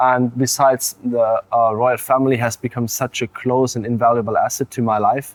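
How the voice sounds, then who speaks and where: A man with a German accent at medium pitch, moderate pace and hardly any pauses, monotone and flat, in a dry, close sound with no echo. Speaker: college swimmer. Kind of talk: interview. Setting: studio.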